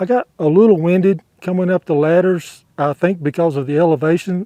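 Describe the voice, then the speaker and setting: In a dry, close recording with no echo, a man with an ordinary speaking voice talks at a moderate pace, his pitch fairly high and his intonation fairly even. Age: 60s. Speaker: travel vlogger. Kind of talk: vlog commentary to camera.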